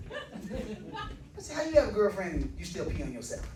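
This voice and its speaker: A man talks at a moderate pace with an American accent. Audible room echo and music sit in the background. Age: 60s. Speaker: stand-up comedian. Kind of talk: stand-up. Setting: stage with audience. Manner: animated.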